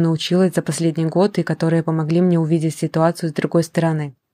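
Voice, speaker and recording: On a very clean recording with a silent background and a dry, close sound with no echo, a woman speaks very fast in a fairly low, dark, mellow voice with monotone, flat intonation. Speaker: panel moderator, anarchist activist. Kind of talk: moderated panel discussion, re-voiced.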